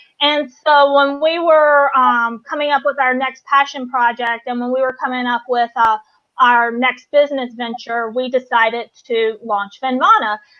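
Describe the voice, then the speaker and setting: At a fairly slow pace, a woman with a Southern US accent speaks with ordinary pitch variation. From US South, North Carolina. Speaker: business co-founder. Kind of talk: interview. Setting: live stream.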